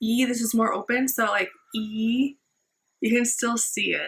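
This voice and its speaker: A woman speaks with a fairly high pitch. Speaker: vlogger sharing health recovery. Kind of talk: personal vlog update. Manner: slow, careful pronunciation; casual, filler-heavy.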